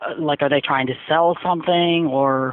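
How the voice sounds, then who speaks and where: A woman's very deep, low-pitched voice at a fairly slow pace with fairly even intonation. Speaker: call center agent. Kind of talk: customer service call. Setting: phone call.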